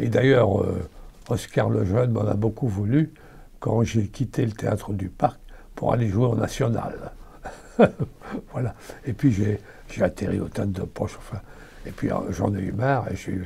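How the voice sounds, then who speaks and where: The voice has a dark, mellow tone, somewhat breathy, with ordinary pitch variation. It moves at a moderate pace broken by long, frequent pauses. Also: man, fairly low pitch for a man. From Belgium, Namur and Brussels. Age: 80s+. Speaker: actor. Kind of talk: interview. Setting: at his home. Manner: halting.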